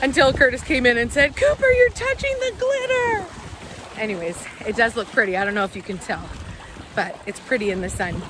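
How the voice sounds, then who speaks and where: A high-pitched woman's voice with very wide pitch swings, dry with no echo, over noticeable background noise. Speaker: family vlogger. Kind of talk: casual vlog chat. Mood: playful, amused. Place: beach. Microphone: phone near.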